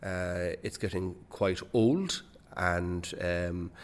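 With a Waterford Irish accent, a man speaks at a very deep, low pitch. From Ireland, Waterford. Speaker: bank chief executive. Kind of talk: interview. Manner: hesitant, many fillers and repetitions.

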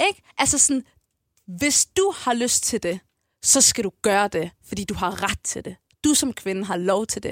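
A woman's ordinary speaking voice at medium pitch, with a fairly slow pace, lively intonation and a dry, close sound with no echo. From Copenhagen, Amager. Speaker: rapper. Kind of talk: casual interview.

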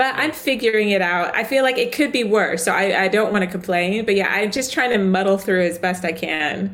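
Over noticeable background noise, a woman with a medium pitch talks at a fairly quick pace with hardly any pauses, very even loudness and ordinary pitch variation. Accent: American. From US South. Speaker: author and editor. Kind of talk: casual interview.

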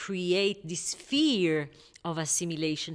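A woman with an Israeli accent, at a fairly slow pace. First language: Hebrew. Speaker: novelist. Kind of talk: interview. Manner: halting.

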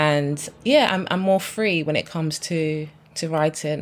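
A woman's very deep, low voice at a fairly slow pace, with fairly even intonation, in a very clean recording against a silent background. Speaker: debut novelist. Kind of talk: interview. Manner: slight stammer; filler-heavy casual.

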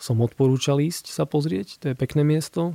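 At a fairly slow pace, a man speaks in a dark, mellow tone, the sound dry and close with no echo. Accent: eastern Slovak. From Slovakia, Košice. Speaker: architect. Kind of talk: casual interview. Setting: radio studio.

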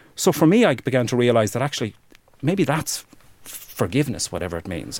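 A medium-pitched man with an Irish accent, talking at a fairly quick pace with very wide pitch swings. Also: big swings in loudness. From Ireland, rural Wexford. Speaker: human rights campaigner. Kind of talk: interview testimony.

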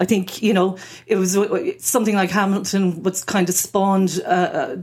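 On a very clean recording with a silent background, a woman talks at a fairly quick pace in a monotone, flat intonation. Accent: Irish. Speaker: freelance journalist. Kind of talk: casual chat.

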